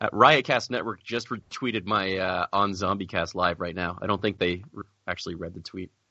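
A man speaks at a moderate pace with hardly any pauses, his voice very deep and low. His pitch varies in an ordinary way while his loudness swings widely. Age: 30s. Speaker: podcast co-host. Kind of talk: casual chat.

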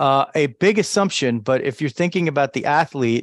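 In a dry, close recording with no echo and a silent background, a man with a fairly high pitch uses a normal speaking voice with ordinary pitch variation. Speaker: podcast host. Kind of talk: casual sports talk. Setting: live stream. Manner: conversational, rambling.

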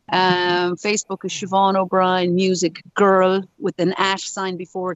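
In an Irish accent, a woman speaks at a medium pitch with monotone, flat intonation. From Ireland. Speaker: musician. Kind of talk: interview. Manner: run-on, chatty.

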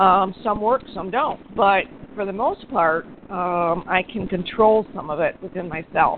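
A woman uses a normal speaking voice at medium pitch and a fairly slow pace. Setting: phone call.

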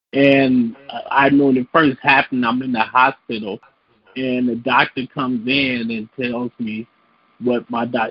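At a moderate pace, a man speaks in a flat monotone at medium pitch. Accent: Chicago.

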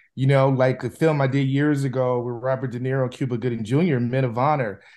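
A plain, everyday voice from a man with an American accent, fairly high in pitch, at a moderate pace against a quiet background. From US Midwest, Chicago. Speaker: film director. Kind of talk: interview.

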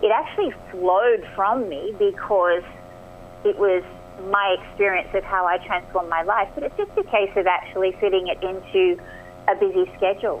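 With noticeable background noise behind her, a woman with an Australian accent speaks at a medium pitch and fairly even intonation. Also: moderate pace. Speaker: performance coach and author. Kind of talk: radio interview. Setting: phone call.

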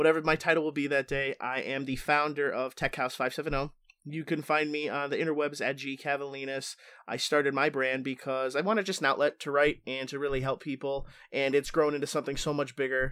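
Bright and sharp in tone, a man talks at a fairly quick pace in a fairly high pitch with monotone, flat intonation, in a very clean recording with a silent background. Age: 30s. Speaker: IT specialist. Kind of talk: casual chat. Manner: joking.

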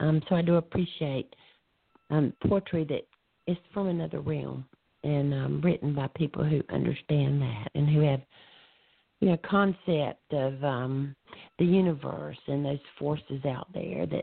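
With a Southern US accent, a woman talks fairly slowly in a very deep, low pitch with ordinary pitch variation. She leaves long, frequent pauses. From US South. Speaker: poet. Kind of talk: casual chat. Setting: phone call.

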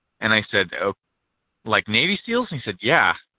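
Lively intonation runs through the speech. It comes in an American accent. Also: man. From US Pacific Northwest, rural. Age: 30s. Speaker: singer-songwriter and navy veteran. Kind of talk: interview.

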